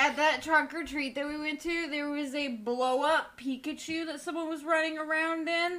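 A woman uses a raised, projected voice, high in pitch with a bright, sharp tone. She goes at a moderate pace with hardly any pauses and fairly even intonation. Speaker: podcast co-host. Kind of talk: casual chat. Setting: live stream from home.

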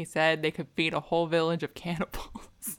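A woman with a fairly low pitch speaks at a moderate pace in a normal speaking voice. The sound is dry and close, with no echo. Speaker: podcast host. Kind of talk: casual chat.

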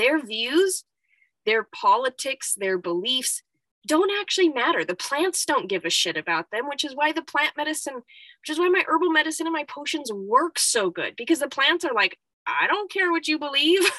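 Raised, projected female voice, high-pitched with a bright, sharp tone, very wide pitch swings and a moderate pace, in a dry, close sound with no echo. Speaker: herbalist and spiritual coach. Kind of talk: solo monologue podcast. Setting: solo recording in cold apothecary.

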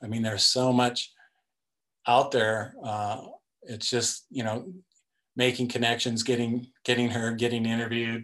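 A man with a General American accent, flat and monotone, at a moderate pace broken by long, frequent pauses. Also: medium pitch for a man. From US West, Denver, Colorado. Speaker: sports policy director and author. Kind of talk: casual interview.

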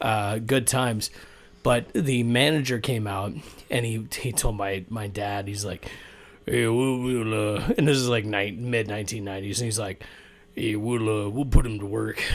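A man's fairly low voice, fairly even in intonation, at a fairly slow pace. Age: 40s. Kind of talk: casual chat.

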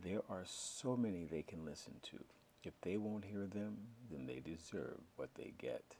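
Reading voice, unforced

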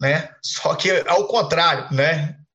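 This man's voice is high in pitch. Its tone is bright and sharp. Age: 30s. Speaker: group host and mentor. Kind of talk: live online group session, motivational talk. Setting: video call, streamed live.

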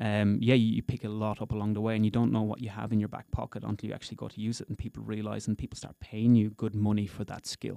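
At a very fast pace with hardly any pauses, a man speaks in a fairly low, dark, mellow voice with monotone, flat intonation and a dry, close sound with no echo. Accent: Irish. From Ireland, County Wexford. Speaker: company founder. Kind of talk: casual interview. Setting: studio.

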